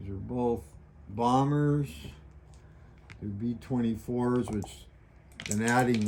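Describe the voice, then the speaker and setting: A man speaks at a very slow pace, leaving long, frequent pauses. Room echo is audible. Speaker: board wargame video maker. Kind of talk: tutorial.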